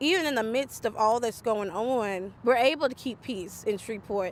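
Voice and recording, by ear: A woman with a fairly high pitch speaks at a moderate pace, her pitch varying in an ordinary way.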